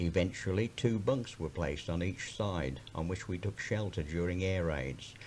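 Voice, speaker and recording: Speaking with an English Midlands accent at a moderate pace, a man uses a very deep, low voice with vocal fry and lively intonation, hardly pausing at all. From Birmingham, England. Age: 70s. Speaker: county councillor. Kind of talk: personal memoir recording.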